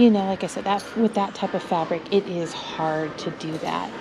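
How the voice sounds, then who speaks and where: A woman talks at a fairly quick pace with ordinary pitch variation while music plays in the background. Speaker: thrift reseller vlogger. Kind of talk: casual vlog chat. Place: shop. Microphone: phone near.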